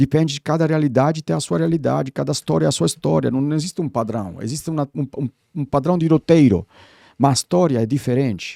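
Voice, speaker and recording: A dark, mellow tone with an Italian accent, lively intonation and a very fast pace. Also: man, fairly high pitch for a man. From Italy, Rome. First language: Italian (speaking Portuguese). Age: 60s. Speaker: branding consultant. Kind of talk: podcast interview. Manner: animated.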